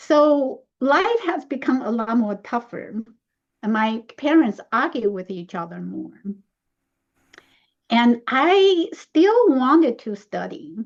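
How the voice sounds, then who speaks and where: Delivered in a Chinese accent at a very slow pace, the speech has very wide pitch swings, big swings in loudness, and long, frequent pauses. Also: woman, high pitch for a woman. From Taiwan. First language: Mandarin Chinese. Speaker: speaker. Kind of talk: discussion.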